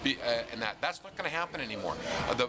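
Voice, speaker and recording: A man speaks at a medium pitch with ordinary variation. Noticeable background noise sits behind him. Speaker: hockey radio broadcaster. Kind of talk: radio-style interview answer about team's season.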